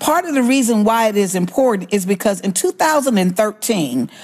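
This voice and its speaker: Noticeable background noise surrounds a woman with an American accent, who speaks with a fairly high pitch and lively intonation. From Alabama, US South. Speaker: voting rights activist. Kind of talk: interview.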